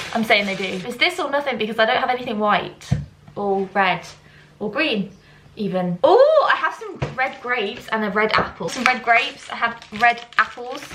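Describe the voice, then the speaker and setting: A woman speaks at a moderate pace in an animated tone, with ordinary pitch variation and noticeable background noise. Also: fairly high pitch for a woman. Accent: British. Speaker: vlogger. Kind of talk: casual vlog talk to camera. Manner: chatty, animated.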